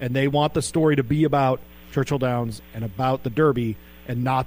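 A man speaks in an ordinary speaking voice, at medium pitch with ordinary variation and a fairly quick pace. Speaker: sports radio host. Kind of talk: casual radio talk.

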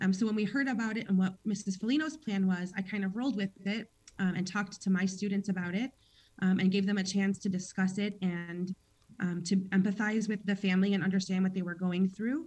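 A woman speaks fairly quickly at a medium pitch, somewhat breathy, with fairly even intonation. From Chicago. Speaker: kindergarten teacher. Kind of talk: radio interview.

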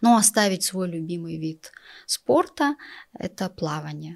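Very slow speech with lively intonation on a very clean recording with a silent background. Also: woman. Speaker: entrepreneur and office employee. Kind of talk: interview. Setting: studio.

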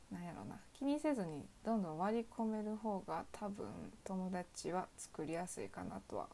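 With a Kansai accent, a woman speaks at a moderate pace using lively intonation. Her tone is dark and mellow. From Osaka, Kansai. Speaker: student podcaster. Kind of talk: solo casual talk. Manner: halting.

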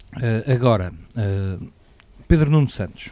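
Fairly low in pitch, a man speaks with a dark, mellow tone. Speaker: political commentator. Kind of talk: panel discussion. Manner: halting.

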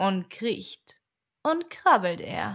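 In a very clean recording with a silent background, a woman speaks at a very slow pace. Her tone is soothing and calm, and her intonation is lively. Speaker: audiobook narrator. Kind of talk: bedtime story reading of a rhymed tale, read aloud as an audiobook. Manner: slow, soft, soothing, calm, lulling cadence.

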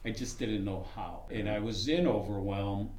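A man talks at a moderate pace with noticeable background noise. The room gives an audible echo. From Chicago. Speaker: student graduating from a blindness program. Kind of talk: casual group chat.

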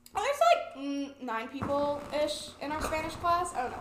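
A woman talks at an extremely high pitch. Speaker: podcast co-host. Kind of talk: casual chat.

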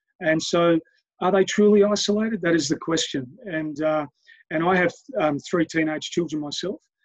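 In a dry, close recording with no echo, a man with an Australian accent speaks at a high pitch and moderate pace, with ordinary pitch variation. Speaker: head of a university residential college. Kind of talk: interview. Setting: video call. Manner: halting, with many fillers.

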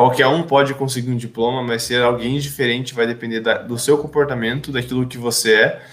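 A man talks in an ordinary speaking voice at a medium pitch, with fairly even intonation and a moderate pace. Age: 20s. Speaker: podcast host, administration student. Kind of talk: casual chat.

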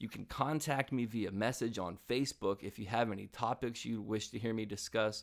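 In a very clean recording with a silent background, this man delivers his words at a fairly quick pace. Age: 30s. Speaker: podcast host. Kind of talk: personal monologue. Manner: halting.

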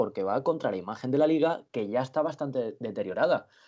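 A man's fairly high voice, dark and mellow in tone, with ordinary pitch variation and a fairly quick pace over a quiet background. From Benidorm, Spain. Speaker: handball journalist. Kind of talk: casual sports chat. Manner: halting, repeats words.

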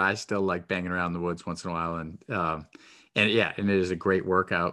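Speaking at a fairly quick pace with fairly even intonation, a man with a New England accent has a very deep, low voice and a bright, sharp tone. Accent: New England, non-rhotic. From New Hampshire. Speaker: podcast host. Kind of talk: casual interview chat. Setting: phone or video call.

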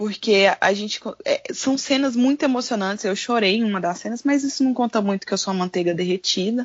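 Somewhat breathy, a woman speaks at a fairly quick pace with fairly high pitch and ordinary pitch variation. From Goiânia, Brazil. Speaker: content creator. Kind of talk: casual chat.

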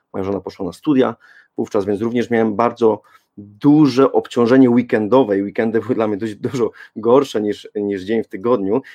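A man speaks fairly quickly at a medium pitch with fairly even intonation. His dark, mellow tone comes through in a dry, close sound with no echo. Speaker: parenting blogger and podcaster. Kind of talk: panel debate.

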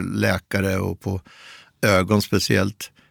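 This very clean recording has a silent background and a dry, close sound with no echo. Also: man. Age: 60s. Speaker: columnist. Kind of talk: interview. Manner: halting.

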